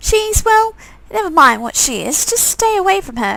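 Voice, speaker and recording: A woman puts on a squeaky character voice at an extremely high pitch. She swings her pitch very widely and keeps a moderate pace. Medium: game stream. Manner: hesitant, stammering.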